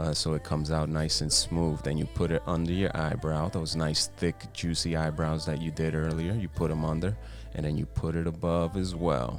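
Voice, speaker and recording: Music plays in the background as the speaker holds a moderate pace. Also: man. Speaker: boyfriend doing comedic voiceover. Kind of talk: comedic voiceover narration of makeup video. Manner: playful, joking.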